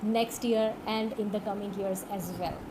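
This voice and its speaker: With a Pakistani accent, a woman speaks at a fairly high pitch and a fairly slow pace in a monotone, flat way, with audible room echo and noticeable background noise. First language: Urdu. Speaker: online course instructor. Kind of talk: tutorial. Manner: hesitant, many fillers.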